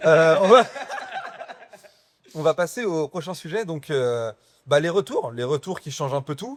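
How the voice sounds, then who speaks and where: A man speaks in a fairly high pitch with lively intonation and big swings in loudness. His pace is fairly slow, with long, frequent pauses. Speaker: podcast host. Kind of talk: casual chat. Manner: halting.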